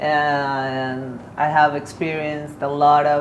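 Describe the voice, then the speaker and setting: A woman with a Spanish accent speaks at a very deep, low pitch, with audible room echo and noticeable background noise. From Mexico. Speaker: artist. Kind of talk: casual interview conversation. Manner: halting, many repetitions.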